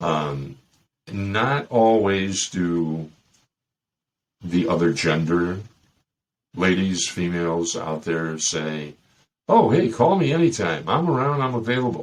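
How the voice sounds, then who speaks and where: In a Chicago accent, a man with a very deep, low pitch speaks at a very slow pace, with lively intonation and long, frequent pauses. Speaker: dating advice podcast host. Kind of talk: casual monologue. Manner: animated.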